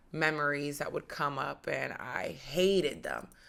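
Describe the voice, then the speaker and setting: A woman with an American accent speaks at a fairly slow pace on a very clean recording with a silent background. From United States. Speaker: podcast host. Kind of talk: personal testimony.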